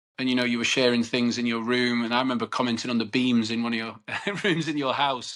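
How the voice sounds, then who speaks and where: Talking very fast in a flat monotone, a man with a northern English accent has a medium pitch. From northern England, Cheshire. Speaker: podcast host. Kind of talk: interview conversation.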